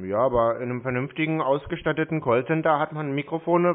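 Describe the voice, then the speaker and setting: A man talks at a fairly quick pace, with a quiet background behind him. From Germany. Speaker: scam-baiter. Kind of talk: phone conversation. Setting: phone call. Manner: sarcastic. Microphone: phone line.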